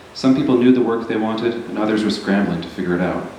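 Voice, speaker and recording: A man speaks with a fairly low pitch. Noticeable background noise and audible room echo fill the recording. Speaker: novelist. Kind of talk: reading aloud; casual remarks. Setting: stage with audience.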